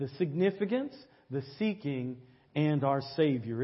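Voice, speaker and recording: This man's voice is somewhat breathy and fairly high in pitch. He talks at a moderate pace with ordinary pitch variation. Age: 50s. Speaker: pastor. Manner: earnest, repetitive preacher cadence with stammered restarts and 'say amen' calls; conversational and direct, addressing the congregation.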